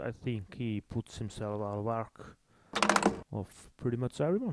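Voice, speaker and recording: Speaking at a fairly slow pace with an Icelandic accent, a man uses a medium pitch, and the sound is dry and close with no echo. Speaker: game commentator. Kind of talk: live commentary.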